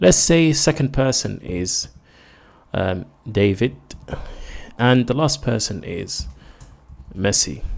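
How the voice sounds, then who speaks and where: A man with a non-native accent speaks with vocal fry. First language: not English. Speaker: programming tutorial creator. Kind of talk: tutorial. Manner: casual. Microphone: new microphone.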